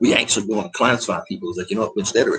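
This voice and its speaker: A man with an American accent talks at a very fast pace in an animated tone. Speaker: military veteran vlogger. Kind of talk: casual rant vlog.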